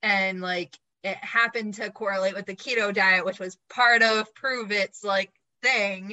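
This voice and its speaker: Speaking at a fairly slow pace, a woman with a normal speaking voice keeps a medium pitch and fairly even intonation. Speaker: podcast host and licensed counselor. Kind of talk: casual interview chat.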